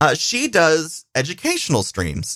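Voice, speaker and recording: In a very clean recording with a silent background, a man with a fairly high, bright, sharp voice and vocal fry speaks at a very slow pace with very wide pitch swings. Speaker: podcast host and Twitch streamer. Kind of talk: casual solo monologue. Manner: rambling, loose and informal.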